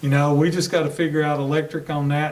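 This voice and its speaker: A man's voice with audible room echo. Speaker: school superintendent. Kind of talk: board meeting discussion. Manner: loud; hesitant fillers.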